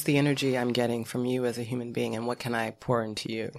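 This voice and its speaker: The speaker has an American accent and talks at a very fast pace. Noticeable background noise sits under the voice. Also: woman. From US Midwest. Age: 50s. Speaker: film and TV producer. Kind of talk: casual chat.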